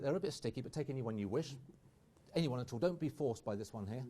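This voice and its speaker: A man talks at a very fast pace with a fairly high pitch and ordinary pitch variation. His tone is dark and mellow, somewhat breathy. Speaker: magician. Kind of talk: live magic performance. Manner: animated.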